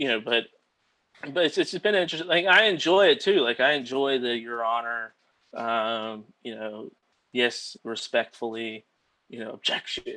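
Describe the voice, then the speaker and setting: With an American accent, a man talks in a bright, sharp tone, with lively intonation and big swings in loudness. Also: medium pitch for a man, moderate pace. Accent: Southern US accent, stronger in court. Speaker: attorney. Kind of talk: casual chat. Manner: many fillers, 'like' and 'um'.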